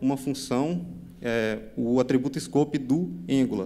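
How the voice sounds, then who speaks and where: This man speaks with vocal fry. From Brazil, Minas Gerais. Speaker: software developer, conference speaker. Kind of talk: technical conference talk. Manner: fast; halting, many fillers and repetitions.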